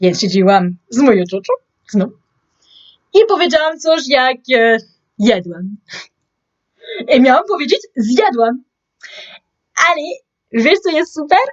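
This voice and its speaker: A woman's high voice with very wide pitch swings, very slow pace and long, frequent pauses. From France. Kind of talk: casual talk to camera.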